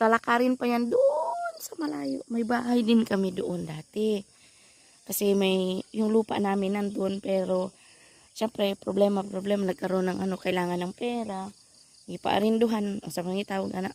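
The woman talks at a moderate pace in a normal speaking voice. Her pitch sits at a medium level with ordinary variation. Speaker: vlogger. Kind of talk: casual vlog narration. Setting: outdoors, family farm.

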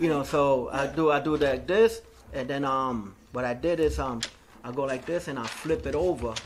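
A man talks at a moderate pace with a fairly high pitch. His pitch variation is ordinary, and there is light background noise. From New York, South Bronx; New York. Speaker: graffiti artist; interviewee. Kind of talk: oral history interview. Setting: recorded interview. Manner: casual, filler-heavy. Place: hall.

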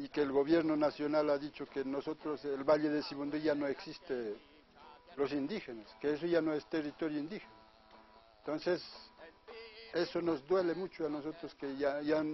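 A man speaks with fairly even intonation and long, frequent pauses, his voice dry with no echo over faint background music. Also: moderate pace. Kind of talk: interview answer. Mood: aggrieved, earnest. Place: farm.

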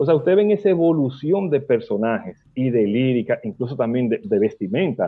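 A man with a Dominican accent speaks at a fairly quick pace with hardly any pauses, his pitch fairly high and swinging very widely. The background is quiet. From Dominican Republic. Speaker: radio host and bachata expert; radio host. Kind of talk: casual radio interview. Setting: radio studio. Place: home room. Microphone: video call.

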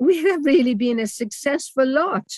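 A woman with a British accent, fairly slow and lively in intonation, in dry sound with no echo and a quiet background. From northern England, Durham; northern England. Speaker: retired lecturer and author; retired lecturer. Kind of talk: seminar talk. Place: home room. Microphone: webcam.

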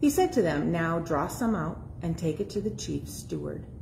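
Light background noise sits under the recording. A woman talks at a moderate pace. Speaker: scripture reader. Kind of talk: scripture reading. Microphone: phone near.

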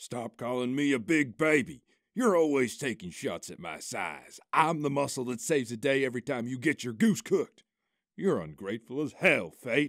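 In a put-on character voice, a man talks gruffly at a medium pitch and a moderate pace, on a very clean recording with a silent background. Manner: blustering, gruff, wounded pride.

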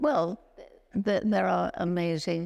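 A woman's fairly low voice carries vocal fry. She talks very slowly against a quiet background. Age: 80s+. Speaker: ethologist and conservationist. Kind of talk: interview answer. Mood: warm, animated storytelling. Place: stage. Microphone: lapel.

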